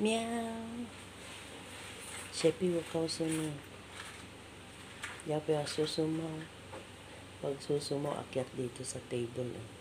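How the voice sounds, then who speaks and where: Soft-spoken and at a very slow pace, the speaker leaves long, frequent pauses over noticeable background noise. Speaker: domestic worker vlogger. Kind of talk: casual vlog narration. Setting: employer's home. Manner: soft-spoken, lowered voice.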